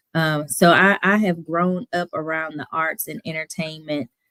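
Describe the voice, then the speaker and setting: Here a woman with a fairly low pitch talks with a slight Southern US accent. The recording is very clean and the background silent. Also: dry, close sound with no echo. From Toledo, Ohio; raised mostly in Houston, Texas. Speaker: playwright and singer. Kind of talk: interview.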